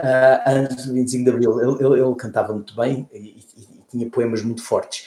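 At a moderate pace and medium pitch, a man talks with hardly any pauses in a monotone, flat intonation while his loudness swings widely. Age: 60s. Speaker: former politician and environmentalist. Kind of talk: interview conversation. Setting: remote call. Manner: halting, many repeated words.

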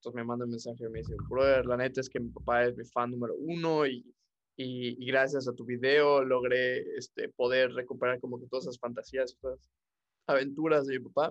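With a Mexican accent, this voice speaks at a fairly quick pace in a flat monotone, its loudness swinging widely. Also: man, medium pitch for a man. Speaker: podcast host. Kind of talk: casual chat.

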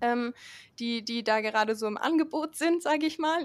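High pitch and ordinary pitch variation from a woman. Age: 20s. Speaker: climate activist, student. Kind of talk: podcast interview.

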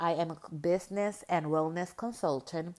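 Fairly low-pitched woman with a Spanish accent, fairly even intonation and a moderate pace, on a very clean recording with a silent background. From Puerto Rico. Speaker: podcast host and life coach. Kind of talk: casual monologue to listeners. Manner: halting, frequent filler words.

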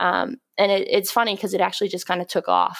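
A woman with an American accent at a fairly quick pace, dry and close with no echo, on a very clean recording with a silent background. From rural Pennsylvania. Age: 20s. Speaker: physical therapist and strength coach. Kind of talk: interview.

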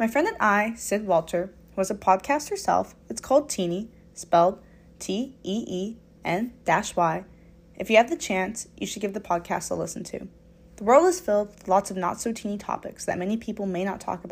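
There's a somewhat breathy quality to this woman's voice. Her pitch lands in the medium range. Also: ordinary pitch variation, moderate pace. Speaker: student podcaster.

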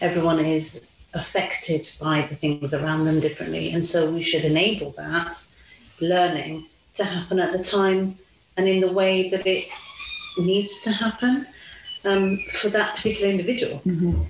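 A woman's fairly low voice at a moderate pace with very even loudness and noticeable background noise. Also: ordinary pitch variation. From Italy. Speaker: mother sharing experiences of race. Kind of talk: interview conversation.

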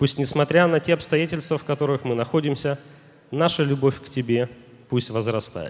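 He has a plain, everyday voice. His pitch is fairly high for a man, and his pace is moderate. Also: ordinary pitch variation. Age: young. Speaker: minister. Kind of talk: prayer. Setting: church service broadcast live.

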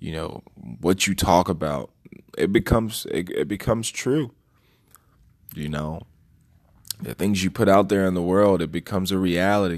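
Pausing long and often, a man with an American accent and a very deep, low pitch talks at a moderate pace with ordinary pitch variation. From DC, Maryland, Virginia area. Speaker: podcast host. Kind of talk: solo monologue commentary. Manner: halting, many fillers.

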